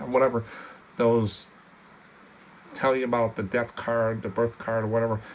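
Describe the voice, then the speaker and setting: Over noticeable background noise, a man talks at medium pitch and a moderate pace. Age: 60s. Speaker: postcard reseller and YouTuber. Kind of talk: casual chat. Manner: casual, halting.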